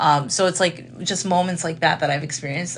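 Speaking at a fairly quick pace, a woman with an American accent shows vocal fry and ordinary pitch variation. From Chicago, US Midwest. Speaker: comedian and content creator. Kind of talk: casual chat.

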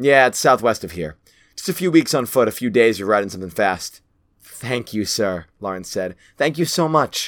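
A natural voice reads the text aloud. Nothing much can be heard behind it, as the background is quiet.

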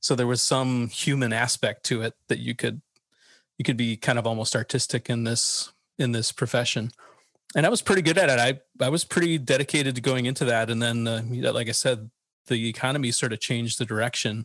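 At a fairly quick pace, a man with an American accent speaks at a medium pitch with ordinary pitch variation, in a dry, close sound with no echo. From US Midwest, Chicago area. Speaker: designer and author. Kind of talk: interview.

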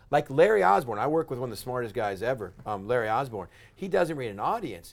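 A man with an American accent, medium pitch, lively intonation, an animated tone and a fairly quick pace. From West Texas. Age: 40s. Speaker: pastor. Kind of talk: casual interview. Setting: studio with cameras.

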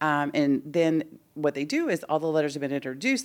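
A woman with an American accent, very deep and low in pitch, with lively intonation at a fairly quick pace, on a very clean recording with a silent background. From Houston, Texas. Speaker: education executive and former teacher. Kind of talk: casual interview.

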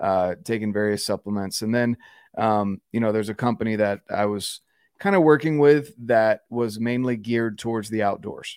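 Recorded very cleanly against a silent background, with a dry, close sound and no echo, a man with an American accent has an unremarkable speaking voice, medium pitch, ordinary pitch variation and a moderate pace. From North Carolina. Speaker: outdoorsman and content creator. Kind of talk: casual interview chat.

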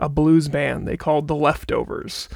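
This man has a normal speaking voice with an American accent. His pitch is fairly high and his pace is moderate. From Wisconsin, near Appleton. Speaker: microphone designer. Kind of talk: interview.

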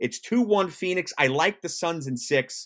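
This man talks in an animated, enthusiastic tone with lively intonation. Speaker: sports radio host. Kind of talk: sports talk radio commentary. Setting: live online show. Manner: animated, fast-paced, enthusiastic sports-talk delivery.

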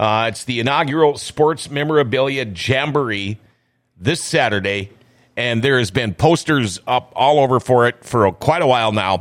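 Heard in a very clean recording with a silent background, a man with an unremarkable speaking voice talks at a moderate pace and medium pitch with ordinary pitch variation. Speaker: radio host. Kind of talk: casual studio interview with ad reads. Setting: studio.

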